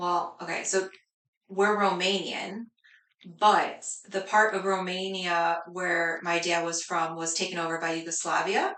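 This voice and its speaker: A woman with an American accent speaks at a fairly slow pace in a flat monotone. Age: 30s. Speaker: cleaning business owner. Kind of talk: casual interview.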